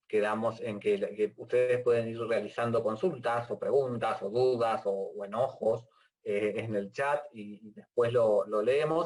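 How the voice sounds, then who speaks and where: This man's pitch sits in the medium range with ordinary variation. He speaks at a fairly slow pace. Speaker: university lecturer. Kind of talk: lecture. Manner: halting.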